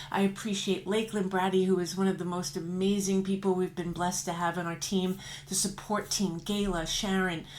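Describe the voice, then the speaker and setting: Speaking at a fairly quick pace in a medium pitch, a woman's voice carries audible room echo. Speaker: trade association leader. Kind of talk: promotional announcement. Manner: fast; animated.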